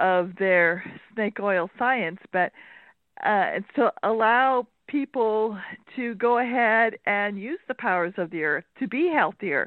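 A woman speaks at a very slow pace with a fairly high pitch. Her intonation is lively. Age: 80s+. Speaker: caller, retired senior. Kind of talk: radio call-in. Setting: phone call.

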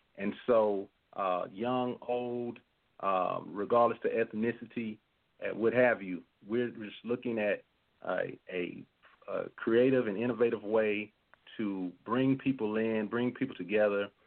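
A man's medium-pitched voice at a fairly slow pace, broken by long, frequent pauses. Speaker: guest speaker. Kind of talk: radio interview.

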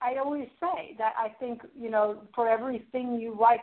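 Talking at a fairly quick pace, a woman with a fairly high pitch and ordinary pitch variation has an unremarkable speaking voice. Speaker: poetry radio host and editor. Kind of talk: radio interview.

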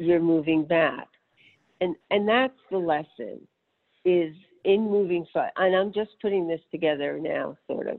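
A woman with an American accent talks at a fairly slow pace in a fairly low voice with ordinary pitch variation. She has an unremarkable speaking voice. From New York City. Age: 60s. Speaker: wheelchair user and sailing nonprofit founder. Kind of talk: interview.

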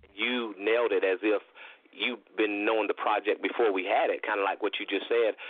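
This man has a North Carolina accent and talks at a fairly quick pace. His loudness stays very even. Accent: Southern US (North Carolina). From US South, North Carolina (Lincolnton). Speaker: country singer-songwriter. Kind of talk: radio interview.

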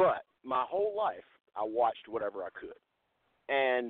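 The man has an American accent. His pace is moderate. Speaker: wrestling manager. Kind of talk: wrestling promo, menacing Southern-style threat rant. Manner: loud, snarling and taunting; boastful, swaggering heel bravado.

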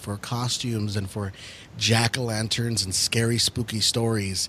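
A man talks with a normal speaking voice. He holds a medium pitch at a moderate pace. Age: 30s. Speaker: paranormal podcast co-host. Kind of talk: casual chat.

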